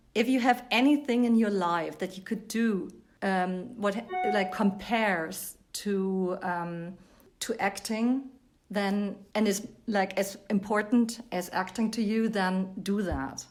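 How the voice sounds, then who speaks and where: A woman speaks very slowly in a German accent. Her pitch is medium, with ordinary variation. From Germany. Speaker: actress. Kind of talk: interview.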